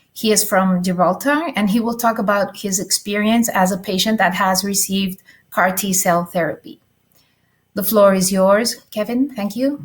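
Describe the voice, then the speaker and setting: A woman speaks at medium pitch and a moderate pace with ordinary pitch variation. Her voice is somewhat breathy. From Spain. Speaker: nurse, session chair. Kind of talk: conference introduction. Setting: virtual conference. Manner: hesitant, many fillers.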